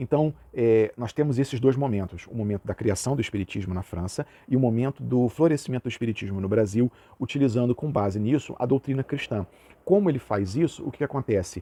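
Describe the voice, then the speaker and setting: A man talks at a fairly quick pace in a medium pitch with ordinary pitch variation and a dark, mellow tone. The sound is dry and close with no echo against a quiet background. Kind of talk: lecture. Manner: casual, uses filler words.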